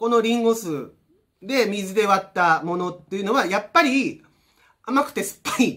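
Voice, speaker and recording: A man's raised, projected voice, high in pitch, bright and sharp in tone, with lively intonation over a quiet background. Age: 50s. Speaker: energy healer and vlogger; vlogger. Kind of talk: casual vlog monologue. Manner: casual, many fillers and repetitions. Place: home room. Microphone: camera far.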